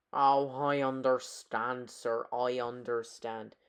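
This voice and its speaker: A put-on character voice at a low-to-middle pitch, monotone, flat intonation and a very slow pace. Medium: solo performance. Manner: polite, proper.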